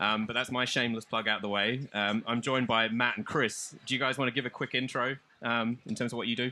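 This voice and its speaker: A man with a slight Australian accent talks very fast with hardly any pauses, at a medium pitch in a bright, sharp tone. His intonation is monotone and flat, his loudness very even, and the background quiet. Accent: Australian, subtle. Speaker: panel moderator. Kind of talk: panel discussion.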